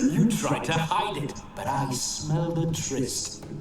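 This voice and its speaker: A man's put-on character voice, fairly high-pitched and fairly slow, with slight echo and loud background noise. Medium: machinima. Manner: flirtatious, boastful.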